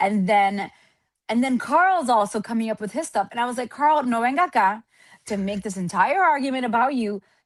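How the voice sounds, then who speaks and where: A woman with a fairly high pitch, animated tone and lively intonation, at a fairly quick pace over a quiet background. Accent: Spanish. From Atlanta, Georgia, US (Dominican family). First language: Spanish. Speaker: podcast guest, content creator. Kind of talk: casual chat.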